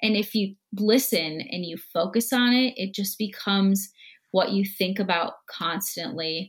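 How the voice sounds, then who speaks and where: With an American accent, a woman talks at a fairly slow pace in a somewhat breathy voice, on a very clean recording with a silent background. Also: medium pitch for a woman, ordinary pitch variation. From US Midwest, Minnesota. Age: 20s. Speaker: guest. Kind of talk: casual chat.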